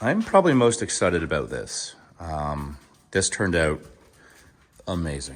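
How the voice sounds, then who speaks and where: A man talks with lively intonation. His pace is moderate. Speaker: YouTuber, vlogger. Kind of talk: casual video walkthrough. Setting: indoors, house under construction. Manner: casual, filler-heavy.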